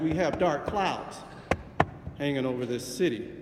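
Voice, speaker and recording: Noticeable background noise and audible room echo accompany a man with a fairly high voice speaking at a moderate pace. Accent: American. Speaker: city councilman. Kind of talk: council floor speech. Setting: city council chamber. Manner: loud, forceful.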